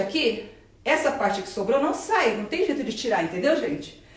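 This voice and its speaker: A woman at a fairly quick pace with very wide pitch swings, amid noticeable background noise and audible room echo. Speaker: plastic surgeon. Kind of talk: live stream Q&A. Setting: Instagram live video. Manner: fast; animated.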